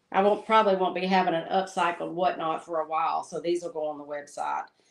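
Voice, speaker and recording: Speaking at a very fast pace, the woman keeps a fairly even intonation at a fairly low pitch. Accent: Southern US. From US South. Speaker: crafter and livestream host. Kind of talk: casual chat while crafting. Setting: livestream. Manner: relaxed, laid-back.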